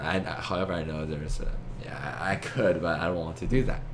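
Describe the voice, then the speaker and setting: Noticeable background noise and audible room echo surround a man speaking at a moderate pace with very wide pitch swings. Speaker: amateur philosopher, video lecturer. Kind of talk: monologue lecture. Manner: halting, many fillers and false starts.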